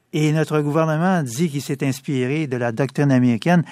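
A man with a plain, everyday voice speaks at a fairly high pitch with ordinary pitch variation. The recording is very clean, with a silent background. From Quebec, Montreal east end. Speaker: lawyer. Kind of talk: radio interview.

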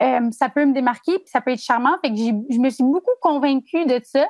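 A woman's high-pitched voice at a moderate pace, dry and close with no echo. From Gaspésie, Quebec (Chandler). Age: 20s. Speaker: journalism student. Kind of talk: interview.

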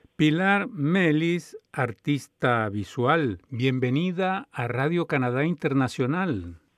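A very slow pace with hardly any pauses and lively intonation. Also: man, fairly high pitch for a man. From Colombia. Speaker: radio host. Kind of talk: interview.

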